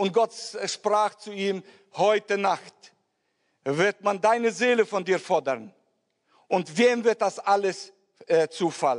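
Ordinary pitch variation marks this man's speech. He talks at a very slow pace. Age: old. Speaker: preacher. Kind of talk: sermon. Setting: church with congregation. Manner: halting.

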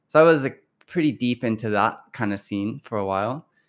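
A normal speaking voice with an American accent and ordinary pitch variation comes through a very clean, dry, close recording with a silent background and no echo. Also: man. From Kentucky, US (Louisville). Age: 40s. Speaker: musician. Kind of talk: casual interview chat.

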